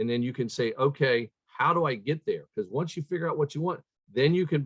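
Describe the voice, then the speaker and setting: A somewhat breathy man, fairly high in pitch, at a fairly quick pace. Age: 60s. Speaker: chiropractor, leadership speaker. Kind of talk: interview.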